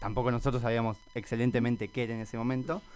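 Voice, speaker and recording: The pitch of this man's voice is medium. He talks very fast. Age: 20s. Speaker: scout program coordinator. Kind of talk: radio interview.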